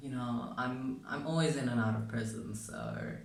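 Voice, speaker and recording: A man with a non-native accent speaks with lively intonation over noticeable background noise and audible room echo. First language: not English. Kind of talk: casual vlog chat. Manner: animated.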